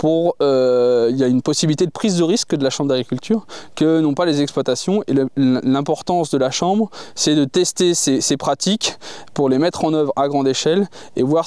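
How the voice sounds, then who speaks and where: A man talks at a fairly quick pace. His fairly high voice shows ordinary pitch variation. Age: 40s. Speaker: farmer and agricultural union candidate. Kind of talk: interview. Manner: hesitant, many filler sounds.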